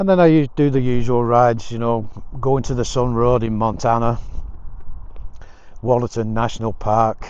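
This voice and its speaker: Amid audible room echo, a man speaks at a moderate pace and medium pitch with ordinary pitch variation and long, frequent pauses. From England. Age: 60s. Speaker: motorcycle vlogger. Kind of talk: casual vlog monologue. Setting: outdoors walking.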